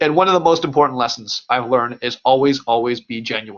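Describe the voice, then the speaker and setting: Pitched fairly high, a man's voice shows ordinary pitch variation. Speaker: company president and nutrition webinar presenter. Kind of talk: webinar presentation. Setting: online webinar. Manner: fast.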